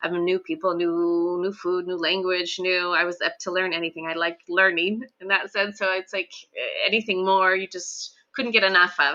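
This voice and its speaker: Barely pausing at all, a woman speaks in a Western US accent with fairly even intonation. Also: medium pitch for a woman, moderate pace. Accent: American, western US. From Idaho, US. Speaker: teacher. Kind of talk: interview.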